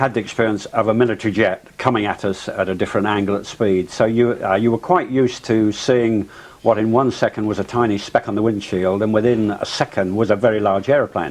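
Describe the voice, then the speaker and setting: A man's fairly low voice in an English accent, fairly quick with hardly any pauses and fairly even intonation. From England. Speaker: civilian pilot. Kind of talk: interview testimony. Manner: halting, many fillers.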